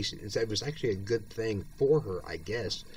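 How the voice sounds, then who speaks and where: A man's medium-pitched, somewhat breathy voice with lively intonation. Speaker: video blogger with multiple sclerosis. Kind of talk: personal monologue. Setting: at home, bedridden or in chair. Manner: halting.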